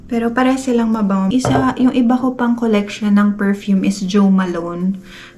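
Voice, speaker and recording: Soft-spoken and at very even loudness, a woman talks at a fairly quick pace with ordinary pitch variation over noticeable background noise. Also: medium pitch for a woman. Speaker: family vlogger. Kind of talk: casual vlog talk. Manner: soft-spoken, lowered voice.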